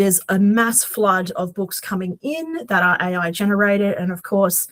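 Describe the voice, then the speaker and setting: Speaking with a Queensland accent, a woman goes at a fairly slow pace with ordinary pitch variation. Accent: Australian, Queensland. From Australia, Queensland. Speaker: podcast co-host, aspiring romance author. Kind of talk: casual chat. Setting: podcast recording at home.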